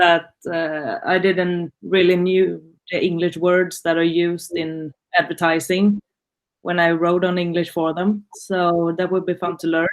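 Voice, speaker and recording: A woman's fairly low voice in a Swedish accent, fairly slow, with monotone, flat intonation. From Sweden, Gothenburg. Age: 20s. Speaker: student. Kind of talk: class introduction. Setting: video call.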